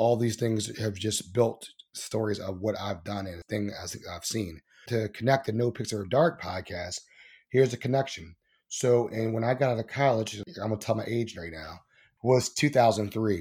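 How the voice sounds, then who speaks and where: Recorded very cleanly against a silent background, a man with an American accent speaks at medium pitch, somewhat breathy, with big swings in loudness. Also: ordinary pitch variation, moderate pace. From Baltimore, Maryland; raised partly in Ohio and Dallas, Texas. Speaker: podcast host and producer. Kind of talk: casual interview.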